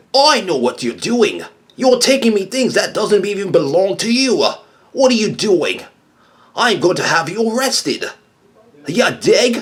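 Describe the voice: Using a put-on character voice with an Australian accent, a man speaks at a high pitch with long, frequent pauses. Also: moderate pace.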